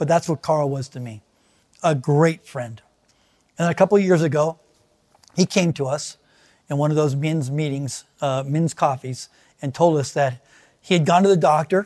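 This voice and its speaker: The man speaks at a moderate pace with ordinary pitch variation. Long pauses come often. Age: 60s. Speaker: pastor. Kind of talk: sermon. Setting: online video service.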